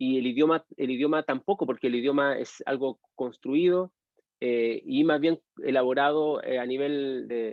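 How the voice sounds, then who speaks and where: At a fairly slow pace, a man with a Chilean accent speaks at a fairly high pitch with fairly even intonation. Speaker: university history lecturer. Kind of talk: lecture with class discussion. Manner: halting, many fillers and repetitions.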